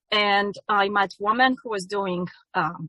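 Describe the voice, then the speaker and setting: A woman speaks with a Polish accent. Her pitch sits at a medium level. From Poland. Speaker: yoga teacher. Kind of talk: testimony. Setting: ministry event. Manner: halting.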